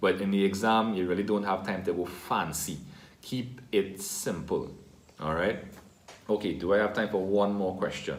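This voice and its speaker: With audible room echo around him, a man speaks at a moderate pace with fairly even intonation. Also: fairly low pitch for a man. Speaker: teacher. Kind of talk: tutorial.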